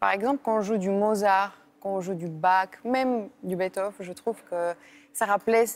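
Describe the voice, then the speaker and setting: With a Bulgarian accent, a woman speaks at medium pitch and a moderate pace, keeping her intonation fairly even. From Bulgaria, Sofia. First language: Bulgarian (speaking French). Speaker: classical violinist. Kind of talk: interview. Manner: hesitant, many fillers.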